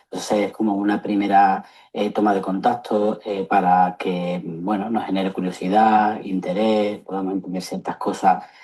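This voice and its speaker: With an Andalusian accent, a man speaks in a fairly low pitch at a moderate pace, his intonation monotone and flat. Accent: Andalusian (Seville) accent, noticeable. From Seville, Andalusia, Spain. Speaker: psychologist. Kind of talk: lecture. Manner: hesitant, many fillers.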